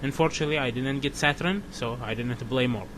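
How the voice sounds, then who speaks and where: Talking at a moderate pace, a man with a non-native accent has a fairly high pitch. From outside US, country without comic shops. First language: not English. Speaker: comic book fan vlogger. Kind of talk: casual review monologue. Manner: halting, many fillers.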